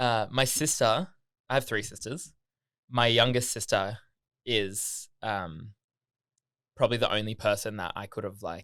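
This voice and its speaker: With an Australian accent, a man speaks at a fairly slow pace with long, frequent pauses, using a medium pitch and ordinary pitch variation in a very clean recording with a silent background. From Australia, Gold Coast. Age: 20s. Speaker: podcast guest. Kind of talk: casual chat. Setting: studio.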